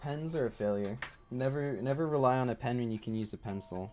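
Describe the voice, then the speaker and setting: Soft-spoken and fairly quick, a man talks in a dark, mellow tone at medium pitch. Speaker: video game streamer. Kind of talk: live gameplay streaming. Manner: quiet, soft-spoken; halting.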